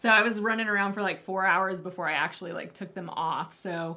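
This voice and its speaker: Fairly even intonation at a fairly quick pace. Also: woman. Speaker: headphone reviewer guest. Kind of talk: casual chat. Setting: live stream video. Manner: loud.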